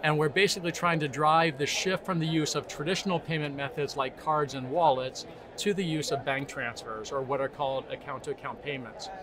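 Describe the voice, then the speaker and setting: A man with an American accent speaks at a fairly quick pace, with hardly any pauses, a fairly high pitch, ordinary pitch variation and noticeable background noise. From United States. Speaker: tech company CEO. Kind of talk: interview.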